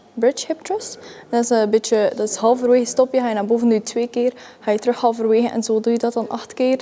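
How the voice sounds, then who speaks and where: Speaking in a Flemish accent, a woman has a fairly high pitch. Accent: Flemish Dutch. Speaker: vlogger. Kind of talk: gym vlog, casual talk to camera. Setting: gym. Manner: breathy, panting between sets.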